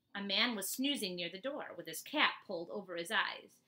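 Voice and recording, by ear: The speaker's intonation is lively while reading aloud in a natural voice.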